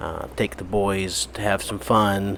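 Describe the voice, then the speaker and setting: Noticeable background noise sits under a man's fairly low-pitched voice. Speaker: missionary. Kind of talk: video update. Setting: apartment at night. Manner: halting, many fillers; quiet, hushed.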